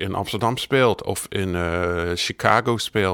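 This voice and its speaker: At a very slow pace, a man talks with a bright, sharp tone. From United States. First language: English (speaking Dutch). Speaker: biographer. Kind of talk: interview.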